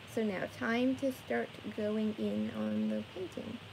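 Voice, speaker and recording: Noticeable noise fills the background while a woman talks. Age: 20s. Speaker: live streamer painting for viewers. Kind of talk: casual live stream chat with viewers. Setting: live stream from her bedroom. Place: home room.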